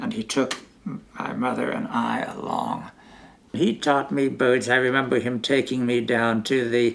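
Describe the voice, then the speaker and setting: With noticeable background noise behind him, a man with an American accent speaks at medium pitch. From California. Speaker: retired mathematics teacher. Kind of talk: interview answer.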